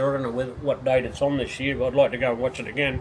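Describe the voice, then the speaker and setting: A man with an Australian accent at a very fast pace, over noticeable background noise. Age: 60s. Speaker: retired speedway racer and team owner. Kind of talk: casual interview. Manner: halting, many repetitions.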